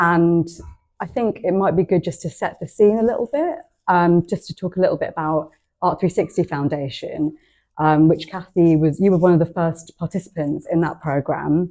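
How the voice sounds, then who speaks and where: A woman talks at a moderate pace with a fairly low pitch and a dark, mellow tone. Her pitch varies in an ordinary way over a quiet background. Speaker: archive and legacy specialist. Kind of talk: public talk conversation.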